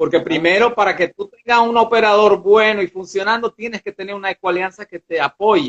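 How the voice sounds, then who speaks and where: Fairly even intonation marks a man's high-pitched speech. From Curaçao, Madeira (Portugal) and Venezuela. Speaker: ecotourism nature guide. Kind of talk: casual interview. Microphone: poor connection.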